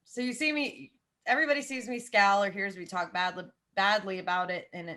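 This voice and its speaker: In an American accent, a woman speaks at a moderate pace with lively intonation. Her tone is bright and sharp. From US South, Jacksonville, Florida. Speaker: football podcaster. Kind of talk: casual chat.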